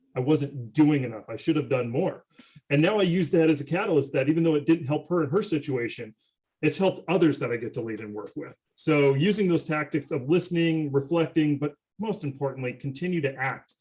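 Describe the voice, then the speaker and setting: Speaking at a fairly quick pace, a man has a fairly high pitch with ordinary pitch variation. His voice is somewhat breathy. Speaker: panel speaker, healthcare/IT leader. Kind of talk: panel discussion.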